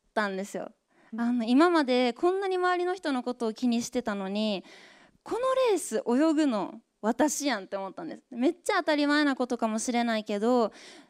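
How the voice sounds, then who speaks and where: Over a quiet background, a woman speaks at a high pitch. Her intonation is lively and her pace moderate. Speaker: former Paralympic swimmer and moderator; moderator. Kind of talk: moderated talk show. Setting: stage with audience. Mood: warm, reflective. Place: stage. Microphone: handheld.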